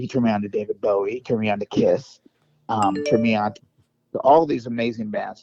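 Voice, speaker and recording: Music plays in the background as a man with an American accent talks very fast at a medium pitch. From US West Coast (San Diego, California). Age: 50s. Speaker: rock guitarist and music producer. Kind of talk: podcast interview. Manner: casual, halting with many fillers.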